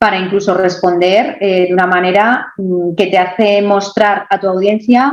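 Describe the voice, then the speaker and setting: A woman with a Madrid accent, medium pitch and a very slow pace. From Madrid, Spain. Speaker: online entrepreneur. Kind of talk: interview answer.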